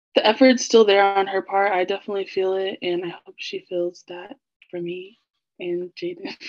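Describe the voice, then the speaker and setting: With an American accent and a plain, everyday voice, a woman speaks at medium pitch and a moderate pace, her intonation fairly even but her loudness swinging widely. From Kansas City, US Midwest. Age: 20s. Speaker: marketing coordinator. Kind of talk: casual chat.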